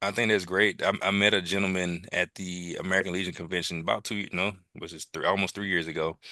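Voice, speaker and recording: In a Mississippi accent, a man with a very deep, low pitch and a bright, sharp tone speaks monotonously at a very fast pace, hardly pausing, over a quiet background. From US South, Jackson, Mississippi. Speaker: military veteran. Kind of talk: interview conversation. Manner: halting.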